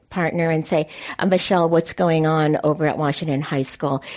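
A woman speaks with a West Coast US accent. Her pitch is fairly low. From San Francisco. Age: 60s. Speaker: city politician. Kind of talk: panel discussion. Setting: stage with audience.

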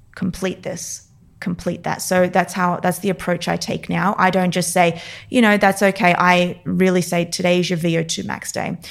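A woman's fairly low, flat, monotone voice with vocal fry and an Australian accent, at a moderate pace. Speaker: neurophysiologist and performance coach. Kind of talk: interview.

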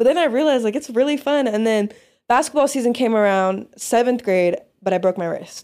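With an American accent, a woman talks at a fairly quick pace and high pitch on a very clean recording with a silent background. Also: lively intonation. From Las Vegas, Nevada. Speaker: sports photographer. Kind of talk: casual chat.

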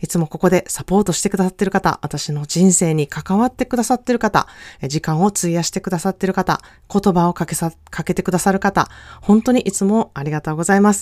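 Over a very clean recording with a silent background, a woman with an unremarkable speaking voice talks at a fairly quick pace and medium pitch. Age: 40s. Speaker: self-care consultant podcaster. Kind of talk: casual monologue.

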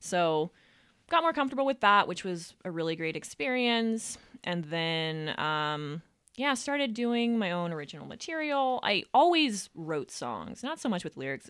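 On a very clean recording with a silent background, a woman with an American accent speaks at a moderate pace, her pitch swinging very widely. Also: medium pitch for a woman. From Reno, Nevada, US West. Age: 20s. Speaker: singer, songwriter and comedian. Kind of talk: casual interview.

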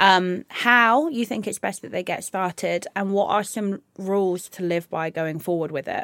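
A woman with an ordinary speaking voice talks at a moderate pace and medium pitch, recorded dry and close with no echo. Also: ordinary pitch variation. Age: 30s. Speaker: podcast host and personal trainer. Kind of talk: casual chat.

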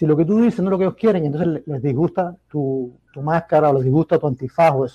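Speaking at a very fast pace, a man's fairly high voice carries a dark, mellow tone and ordinary pitch variation, dry and close with no echo. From Cuba (Havana). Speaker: caller. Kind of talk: casual chat.

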